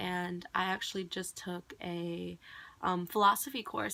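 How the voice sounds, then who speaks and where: The recording is very clean. A woman speaks over a silent background. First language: Cambodian. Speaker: vlogger, college student. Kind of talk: casual monologue vlog. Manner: rambling, filler-heavy.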